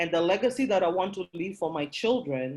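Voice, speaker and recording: In a Kenyan accent, a woman speaks in a passionate tone at a fairly low pitch. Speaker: workshop presenter. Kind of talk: motivational talk.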